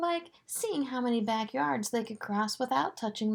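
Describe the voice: Ordinary pitch variation in a plain reading aloud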